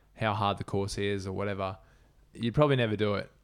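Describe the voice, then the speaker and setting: The voice carries an Australian accent with fairly even intonation. The recording is very clean, with a silent background. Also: man. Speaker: ultra runner. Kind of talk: casual interview chat.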